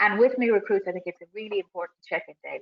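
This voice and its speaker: A woman with an Irish accent and ordinary pitch variation. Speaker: business coach running a webinar. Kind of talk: webinar presentation. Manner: fast.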